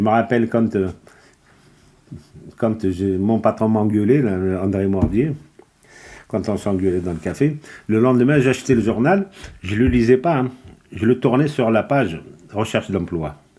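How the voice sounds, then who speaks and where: Dark, mellow tone from a man at medium pitch, ordinary pitch variation, a fairly slow pace and long, frequent pauses. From Kabylie, Algeria. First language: Kabyle (speaking French). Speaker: immigrant worker. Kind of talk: interview. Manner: halting.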